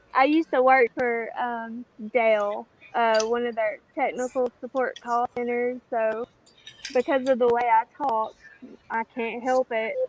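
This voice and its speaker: With a strong Southern US accent, a woman talks at a fairly slow pace in a high pitch, her intonation monotone and flat, and the sound dry and close with no echo. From US South. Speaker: livestream participant, prepper. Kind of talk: casual chat.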